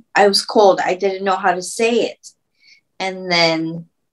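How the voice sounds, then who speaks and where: A woman at medium pitch with ordinary pitch variation, at a fairly slow pace. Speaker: stroke survivor with aphasia. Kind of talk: interview answer. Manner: halting, with word-finding pauses.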